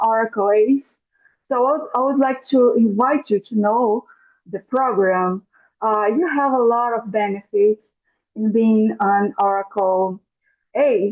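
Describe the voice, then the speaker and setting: Speaking very slowly with a Portuguese accent, a woman uses a fairly high pitch and ordinary pitch variation. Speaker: webinar host. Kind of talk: live webinar introduction. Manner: halting.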